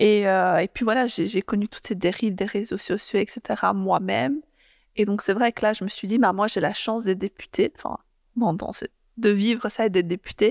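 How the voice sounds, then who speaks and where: A woman speaks at a moderate pace and medium pitch with ordinary pitch variation, leaving long, frequent pauses. The sound is dry and close with no echo, on a very clean recording with a silent background. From Belgium, Brussels (Molenbeek). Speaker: politician. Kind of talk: interview. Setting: parliament building. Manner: halting, many fillers.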